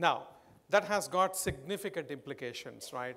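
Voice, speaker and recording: A man talks at a fairly quick pace with an Indian accent. His pitch varies in an ordinary way. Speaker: marketing executive. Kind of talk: conference keynote.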